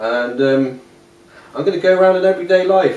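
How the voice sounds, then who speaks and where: With an English accent, a man speaks at a high pitch with ordinary pitch variation, amid audible room echo and noticeable background noise. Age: 30s. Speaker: interviewee with Asperger's syndrome. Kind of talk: casual interview monologue. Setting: at home. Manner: hesitant, many fillers.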